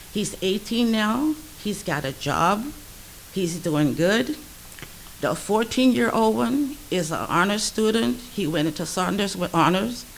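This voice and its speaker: Her pitch swings very widely from a medium center as a woman talks at a fairly slow pace. Noticeable background noise runs underneath. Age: 70s. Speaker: grandparent advocate. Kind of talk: public testimony. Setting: public meeting in a library.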